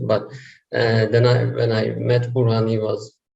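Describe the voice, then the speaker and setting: At a fairly slow pace, a man with a medium pitch speaks in a somewhat breathy voice. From Turkey. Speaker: online seller. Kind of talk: interview.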